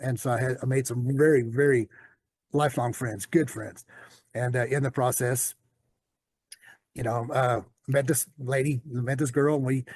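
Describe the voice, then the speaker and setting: Somewhat breathy, a man with a Southern US accent and medium pitch talks at a moderate pace with fairly even intonation and long, frequent pauses. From US South. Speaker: storyteller guest sharing life story. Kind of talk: personal testimony in interview. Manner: halting, many fillers.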